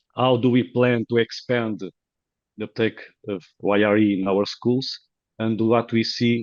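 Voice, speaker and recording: Speaking at a fairly low pitch, a man keeps his intonation fairly even. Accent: Portuguese. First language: Portuguese. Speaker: professor. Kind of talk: conference presentation. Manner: halting, many fillers.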